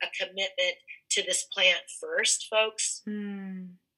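Here a woman talks with an American accent. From California. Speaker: cannabis entrepreneur. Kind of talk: interview.

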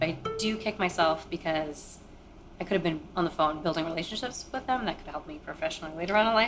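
Talking at a fairly quick pace, a woman with an unremarkable speaking voice has a fairly low pitch and ordinary pitch variation. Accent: American. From Maine, US. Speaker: interviewee sharing life story. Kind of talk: personal testimony.

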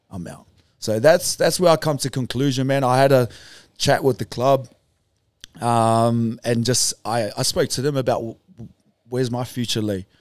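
On a very clean recording with a silent background, a man with a New Zealand accent and medium pitch speaks at a moderate pace, with long, frequent pauses, big swings in loudness and ordinary pitch variation. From New Zealand, Auckland North Shore. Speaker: retired rugby league player. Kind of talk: casual chat.

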